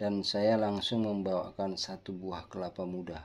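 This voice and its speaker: A man speaks with a fairly low pitch. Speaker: health tips vlogger. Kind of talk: casual health tutorial with anecdote. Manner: somewhat loud, forceful.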